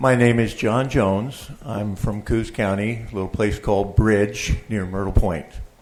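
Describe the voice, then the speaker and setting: In a plain, everyday voice with an American accent, a man talks at a fairly slow pace and fairly low pitch, his intonation fairly even and hardly any pauses. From Oregon. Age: 60s. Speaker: public commenter, land trust president. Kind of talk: public testimony. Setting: public board meeting.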